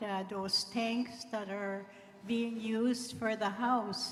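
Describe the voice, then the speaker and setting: Against noticeable background noise and audible room echo, a woman talks at a very slow pace. Her fairly high voice stays monotone, with flat intonation. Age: 70s. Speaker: community member asking a question. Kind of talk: public question at assembly. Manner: halting.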